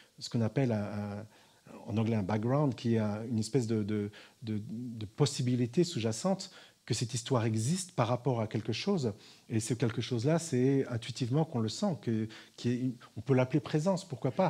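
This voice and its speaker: This man's medium-pitched voice is dark and mellow, somewhat breathy, and shows ordinary pitch variation. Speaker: spiritual teacher. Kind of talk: talk to an audience. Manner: fast.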